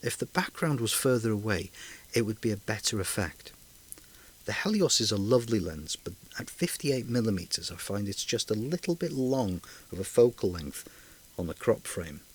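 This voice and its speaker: This man's medium-pitched voice moves through very wide pitch swings. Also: moderate pace. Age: old. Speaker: hobby photographer and adapter maker. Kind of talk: tutorial narration over photo comparisons.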